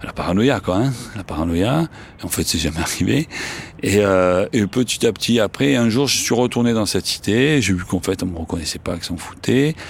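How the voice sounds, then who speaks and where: Through noticeable background noise, a man with a fairly low pitch speaks with lively intonation. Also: moderate pace. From Marseille, France. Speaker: journalist and writer. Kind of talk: interview testimony. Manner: casual, with frequent hesitations.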